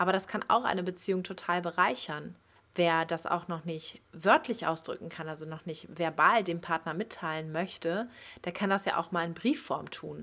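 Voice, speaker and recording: A woman with a fairly low pitch speaks at a moderate pace in a bright, sharp tone. Her intonation is fairly even, and the recording is very clean with a silent background. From Germany, Cologne area. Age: 30s. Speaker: podcast host, sex educator. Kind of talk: podcast monologue.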